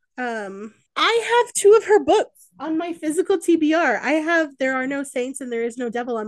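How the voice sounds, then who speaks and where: A woman is speaking. Her pitch swings very widely. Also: hardly any pauses, big swings in loudness, quiet background. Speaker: book podcast co-host. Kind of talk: casual chat. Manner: casual, filler-heavy.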